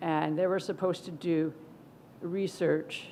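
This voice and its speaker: A woman with an American accent, fairly low in pitch, with monotone, flat intonation. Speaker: professor. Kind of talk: conference keynote talk. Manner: slow.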